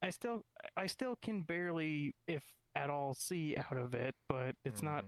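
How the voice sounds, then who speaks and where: At a middle pitch and a moderate pace, the speaker uses a put-on character voice. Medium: machinima.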